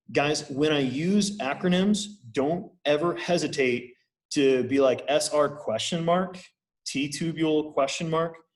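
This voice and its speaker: A man speaks in a fairly high, somewhat breathy voice at a fairly slow pace, with ordinary pitch variation. Audible room echo surrounds the recording. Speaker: university lecturer. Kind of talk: lecture. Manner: casual.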